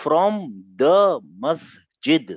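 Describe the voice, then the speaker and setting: A man with a Pakistani accent, his sound dry and close with no echo. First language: Urdu. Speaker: Arabic grammar teacher. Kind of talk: online class lecture. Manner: animated.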